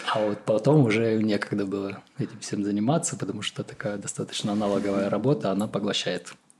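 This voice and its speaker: Hardly pausing at all, a man talks at a very fast pace with ordinary pitch variation against noticeable background noise. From southern Russia, Krasnodar Krai. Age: 30s. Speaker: co-living founder and musician. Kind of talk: casual interview.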